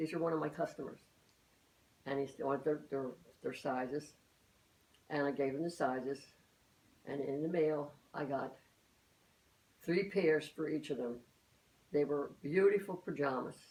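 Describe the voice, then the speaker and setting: Using a dark, mellow tone and a very deep, low pitch with ordinary variation, a woman speaks at a moderate pace with long, frequent pauses. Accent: Philadelphia. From Philadelphia, US. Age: 80s+. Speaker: elderly mother interviewed by her daughter. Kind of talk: family oral-history interview. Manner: halting, many repetitions and false starts.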